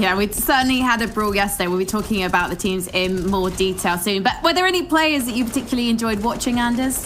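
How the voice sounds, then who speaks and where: A woman with a London accent talks at a very fast pace with hardly any pauses, her fairly high pitch rising and falling in lively intonation over noticeable background noise. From London, England. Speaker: esports presenter. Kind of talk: esports analysis desk chat.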